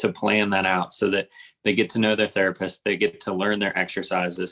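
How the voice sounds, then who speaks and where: Here a man speaks with a Midwestern accent. His pitch is fairly low and his pace fairly quick. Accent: general American (Midwest). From US Midwest, Cincinnati, Ohio. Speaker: orthopedic surgeon. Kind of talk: interview. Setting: live video stream.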